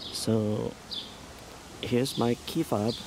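Noticeable background noise accompanies a man speaking. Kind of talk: casual vlog chat. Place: street. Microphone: phone near.

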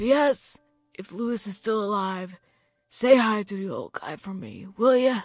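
A female-sounding put-on character voice with a fairly high pitch talks at a moderate pace. Music plays in the background. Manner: weak, frail, dying.

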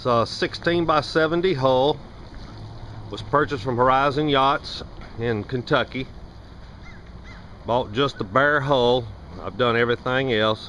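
Pausing long and often, a man speaks at a fairly slow pace with ordinary pitch variation, the sound dry with no echo and light background noise behind him. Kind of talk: casual walkthrough narration. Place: garden. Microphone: phone near.

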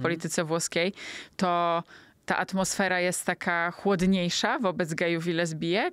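A woman's normal speaking voice at a fairly low pitch, with fairly even intonation and a moderate pace, in a dry sound with no echo and a quiet background. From Poland. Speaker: podcast host, travel journalist. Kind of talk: interview. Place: studio. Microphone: studio mic.

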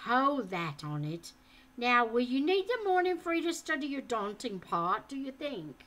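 Putting on a gruff character voice, a woman speaks at a high pitch with very wide pitch swings. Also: moderate pace. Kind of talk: reading aloud a book with character voices. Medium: read story. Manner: gruff, bantering. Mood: gruffly kind.

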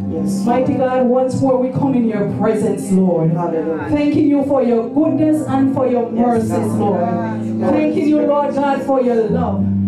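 A woman speaks at a moderate pace over loud background music. The room echo is audible. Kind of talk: spoken prayer. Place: church.

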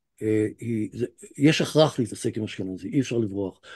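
The background is quiet. A man with a dark, mellow tone speaks at a moderate pace. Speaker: professor lecturer. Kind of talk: lecture. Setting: video call. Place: home room. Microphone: video call.

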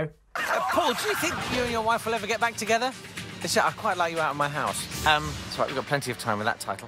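A man at a high pitch with very wide pitch swings and a very fast pace, music in the background. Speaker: comedy writer and voice artist. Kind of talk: comedy voiceover commentary on clips. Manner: dry, sardonic.

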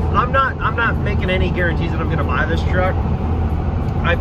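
The background noise is loud. The sound is dry, with no echo. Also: man. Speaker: vlogger driving. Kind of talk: casual vlog chat. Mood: playful, self-mocking. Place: car. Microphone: phone near.

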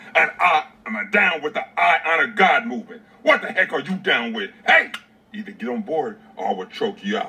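A man performs a gruff, put-on character voice. He projects it loudly at a moderate pace. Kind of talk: mock-threatening comic menace. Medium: short film. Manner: menacing, gruff, commanding.

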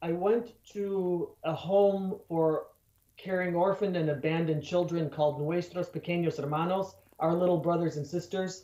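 In a room with audible echo, a man with an American accent speaks at a moderate pace in a high pitch, with fairly even intonation and long, frequent pauses. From Chicago area, US Midwest. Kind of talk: radio interview. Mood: earnest, warm. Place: home room. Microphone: webcam.

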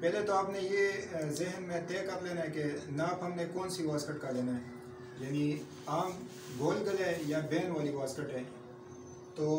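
Amid noticeable background noise, a man with a high pitch and ordinary pitch variation speaks at a fairly slow pace with long, frequent pauses. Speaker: tailoring instructor. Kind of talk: tutorial. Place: classroom. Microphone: camera far.

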